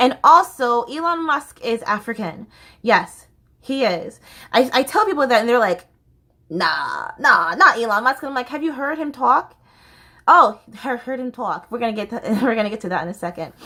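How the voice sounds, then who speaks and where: A woman's high, bright, sharp voice swings very widely in pitch. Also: moderate pace. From Southern US, Florida. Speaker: stage actor. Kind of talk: casual talk to camera.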